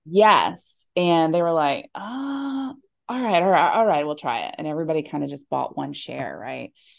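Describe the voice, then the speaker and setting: A woman with an American accent at a moderate pace, with big swings in loudness, against a quiet background. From Alabama, US South. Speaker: business owner and army veteran. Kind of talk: interview.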